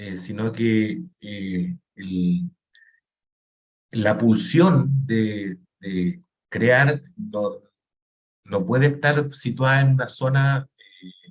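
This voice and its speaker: Very slowly and with long, frequent pauses, a man speaks at a medium pitch in a somewhat breathy voice, with very wide pitch swings and big swings in loudness. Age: 50s. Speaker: painter. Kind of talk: interview conversation. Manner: halting.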